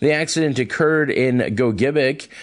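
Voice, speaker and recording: There is a quiet background as a man with an ordinary speaking voice talks at medium pitch and a moderate pace. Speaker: radio news reader. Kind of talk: news reading. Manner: formal, brisk, even.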